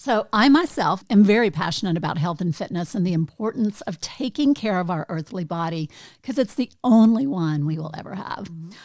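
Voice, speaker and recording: A woman with a normal speaking voice talks at a fairly quick pace in a medium pitch, with lively intonation, big swings in loudness and hardly any pauses. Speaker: podcast host. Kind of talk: interview question.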